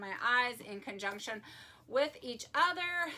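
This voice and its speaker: Against noticeable background noise, a woman talks in a high pitch with very wide pitch swings. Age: 50s. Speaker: beauty youtuber. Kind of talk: tutorial. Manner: fast.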